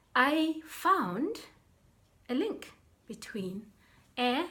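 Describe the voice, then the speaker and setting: Her pitch swings very widely as a woman speaks. Noticeable background noise sits behind her. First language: Sepedi (Northern Sotho). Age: 40s. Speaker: life coach. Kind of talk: vlog explainer.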